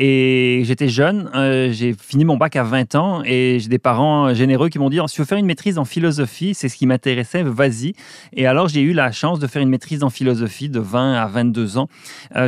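A man talks at a moderate pace, his medium-pitched voice showing ordinary pitch variation. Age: 50s. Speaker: energy professor. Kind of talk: interview. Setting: studio. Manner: halting.

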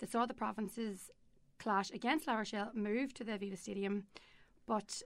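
This woman has a Northern Irish accent and a fairly high pitch. She talks at a fairly quick pace with fairly even intonation. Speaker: podcast presenter. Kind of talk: casual chat.

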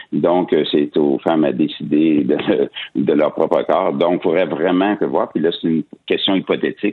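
A man at a moderate pace, with very even loudness. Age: 60s. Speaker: economist and senator. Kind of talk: radio interview.

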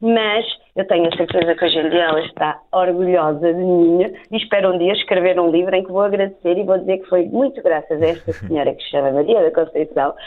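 In an ordinary speaking voice, a woman of medium pitch talks at a fairly quick pace with hardly any pauses and ordinary pitch variation. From Portugal. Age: 30s. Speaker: primary school teacher and translator. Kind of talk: interview.

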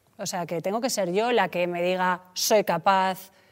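A woman is speaking here. Her delivery is fairly slow. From Spain, Mediterranean coast. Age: 40s. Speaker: entrepreneur. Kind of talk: casual chat.

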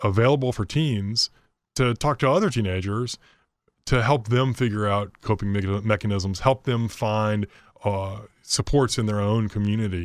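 A man with a plain, everyday voice and a fairly low pitch speaks at a moderate pace. The sound is dry and close with no echo, on a very clean recording with a silent background. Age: 50s. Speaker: nonprofit executive. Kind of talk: radio interview.

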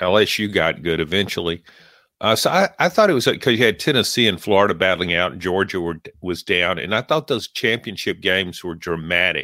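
At a fairly quick pace, a man speaks in a Southern US accent with very deep, low pitch, ordinary pitch variation and a bright, sharp tone, recorded very clean with a silent background and a dry, close sound with no echo. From Louisiana. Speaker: sports podcast co-host, sportswriter. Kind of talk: casual sports chat.

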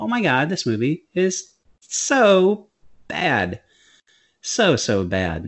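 A man is speaking. His pitch swings very widely. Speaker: movie review podcast co-host. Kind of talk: casual chat. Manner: animated.

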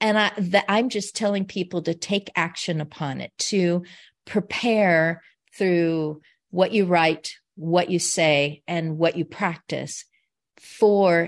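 Against a quiet background, a woman talks at a very slow pace. Her pitch is fairly low, with ordinary variation. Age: 60s. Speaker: caregiver turned aging advocate. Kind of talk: interview. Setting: video call. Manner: animated.

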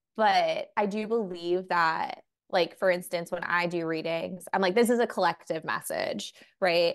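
Against a quiet background, a woman with a plain, everyday voice and an American accent speaks fairly slowly at medium pitch with fairly even intonation. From New York. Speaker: tarot reader and psychic medium. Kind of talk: casual interview chat.

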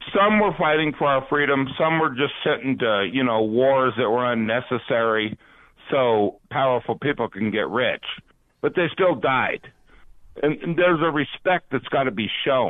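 A man with a normal speaking voice at medium pitch and a moderate pace, with lively intonation and very even loudness. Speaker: caller. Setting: phone call.

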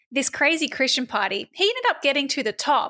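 A woman's high, bright, sharp voice with an Australian accent at a moderate pace, dry and close with no echo. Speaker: podcast co-host. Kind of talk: casual chat.

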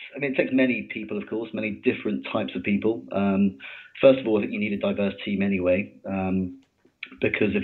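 A man with a British accent, fairly low in pitch, at a fairly quick pace with lively intonation. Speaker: mining engineering consultant. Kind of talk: interview. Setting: podcast recording.

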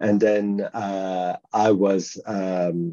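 The voice has a dark, mellow tone and a monotone, flat intonation. The background is quiet. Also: man. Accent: strong French. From France. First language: French. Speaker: underwriter turned tech entrepreneur. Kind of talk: interview conversation.

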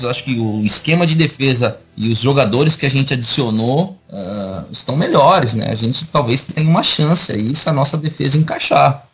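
A man with a fairly high voice speaks at a moderate pace, his intonation lively. Noticeable background noise can be heard behind him. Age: 40s. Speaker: YouTuber and football fan. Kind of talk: casual chat. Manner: halting.

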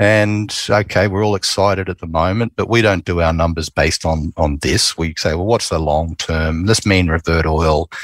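With an Australian accent, a man speaks at a moderate pace with hardly any pauses, his voice very deep and low with fairly even intonation. The recording is very clean with a silent background and a dry, close sound with no echo. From Queensland, Australia. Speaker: oil company executive. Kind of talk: interview.

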